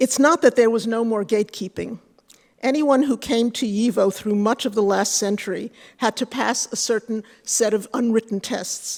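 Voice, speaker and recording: At a moderate pace, a woman with a fairly high pitch speaks with fairly even intonation in a dry, close sound with no echo. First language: Yiddish. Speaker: Yiddish scholar and professor. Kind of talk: conference paper presentation. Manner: formal, read from a prepared text.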